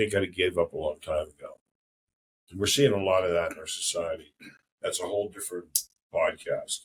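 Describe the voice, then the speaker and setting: At a fairly quick pace, a man talks with long, frequent pauses and big swings in loudness. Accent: American. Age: 60s. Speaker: podcast host. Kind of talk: casual chat.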